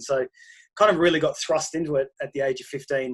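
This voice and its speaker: With an Australian accent, a man talks at a fairly quick pace and a fairly high pitch. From Australia, country Queensland. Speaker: pastor. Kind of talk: interview.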